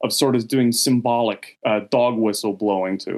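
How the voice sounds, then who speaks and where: A man with a medium-pitched voice speaks with an American accent. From United States. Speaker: journalism professor. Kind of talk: interview.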